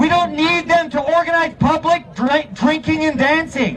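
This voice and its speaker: Over crowd noise in the background, a man with an American accent speaks in an animated tone at an extremely high pitch, with ordinary pitch variation and a fairly slow pace. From US. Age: 30s. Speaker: protest speaker. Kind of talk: rally speech.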